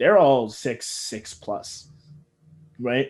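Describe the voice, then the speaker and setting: A man speaks in an ordinary speaking voice. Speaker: sports podcast host. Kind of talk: casual sports chat. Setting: podcast recording.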